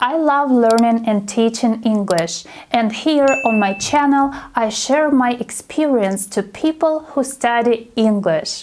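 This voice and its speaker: A woman's fairly high voice in a Russian accent, very slow with hardly any pauses and very even loudness, over noticeable background noise. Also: ordinary pitch variation. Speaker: English teacher. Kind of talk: casual talk to camera.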